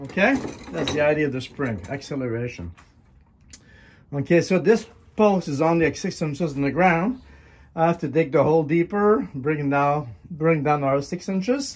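The pace is moderate. Pauses come often and run long. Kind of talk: tutorial. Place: workshop. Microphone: phone near.

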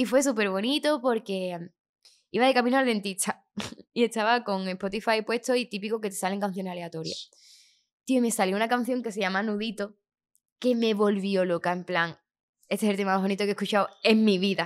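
The delivery runs at a fairly quick pace with ordinary pitch variation. Long pauses come often. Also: woman, medium pitch for a woman. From Andalusia, Chiclana (Cádiz); Andalusia. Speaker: singer; podcast guest. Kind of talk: casual interview; interview answer. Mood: lively, candid storytelling. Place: studio. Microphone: studio mic.

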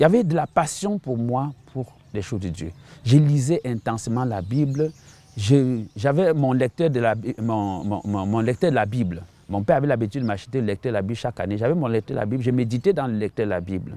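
Speaking at a moderate pace, the man has a medium pitch, a dark, mellow tone and lively intonation, in a dry sound with no echo. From Cameroon (Bamenda, anglophone northwest); Cameroon. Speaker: missionary pastor. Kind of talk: testimony. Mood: earnest, reflective testimony. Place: garden. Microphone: lapel.

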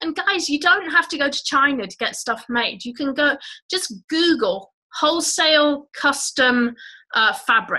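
In a Channel Islands accent, a woman projects a raised, high-pitched voice with a bright, sharp tone and lively intonation, talking at a fairly slow pace over a quiet background. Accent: British English (Channel Islands). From Guernsey, Channel Islands. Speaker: online business educator. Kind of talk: live webinar presentation. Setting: live video call stream. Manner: animated. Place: home room. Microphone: webcam.

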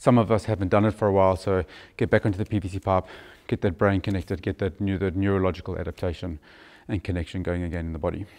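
Against a quiet background, a man with a fairly low pitch talks at a very fast pace. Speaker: fitness coach. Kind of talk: tutorial. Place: gym. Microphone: lapel.

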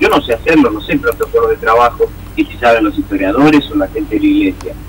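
A man speaks fairly briskly, and background noise is clearly heard. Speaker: film producer. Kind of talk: radio phone interview. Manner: halting, many fillers.

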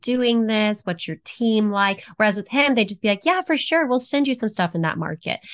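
Against a quiet background, the voice carries an American accent and ordinary pitch variation. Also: woman. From Texas. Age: 20s. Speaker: real estate investor and former fashion model. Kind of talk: interview. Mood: friendly, animated. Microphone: headset.

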